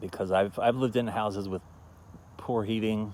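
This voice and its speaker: Quiet and mumbling, a man speaks at a moderate pace with ordinary pitch variation. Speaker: festival founder. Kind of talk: casual talk to camera. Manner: mumbling, quiet.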